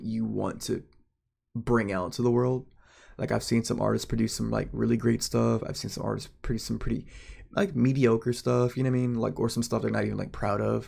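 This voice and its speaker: This man is soft-spoken. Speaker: amateur artist vlogger. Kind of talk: casual vlog monologue. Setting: at home at night. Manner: soft-spoken, kept quiet for neighbors; halting, many fillers.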